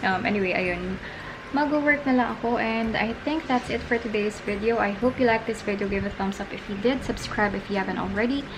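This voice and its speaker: Speaking fairly quickly at a fairly high pitch with ordinary variation, a woman is recorded amid noticeable background noise and audible room echo. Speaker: lifestyle vlogger and mother. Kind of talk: casual vlog. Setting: at home, night. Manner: hushed, lowered voice.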